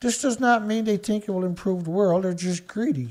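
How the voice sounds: In a Newfoundland accent, the voice has a slightly mellow tone and ordinary pitch variation. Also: man. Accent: Newfoundland Canadian.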